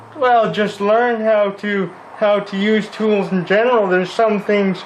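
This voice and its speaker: A man speaks at a fairly slow pace, his pitch high for a man and his intonation flat and monotone. Noticeable background noise runs under his voice. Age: 20s. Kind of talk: interview. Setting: repair shop.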